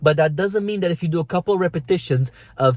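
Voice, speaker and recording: Somewhat breathy and with a non-native accent, a man speaks at a fairly quick pace in a dry, close sound with no echo. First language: not English. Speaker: fitness coach. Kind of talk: vlog tutorial.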